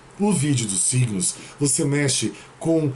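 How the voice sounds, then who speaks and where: With noticeable background noise, a man speaks very slowly in a serious tone. His pitch varies in an ordinary way. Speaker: tarot reader and numerologist. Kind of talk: tarot reading video monologue.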